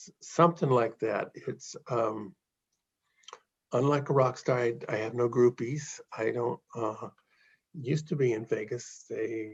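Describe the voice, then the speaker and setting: Somewhat breathy and fairly slow, a man speaks at a medium pitch with ordinary pitch variation and big swings in loudness. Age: 70s. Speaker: professional video poker player. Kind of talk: casual interview chat.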